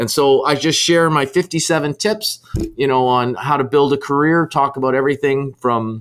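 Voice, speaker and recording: The loudness stays very even throughout. Pitch varies in an ordinary way. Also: man. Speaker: sales author and business coach. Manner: fast.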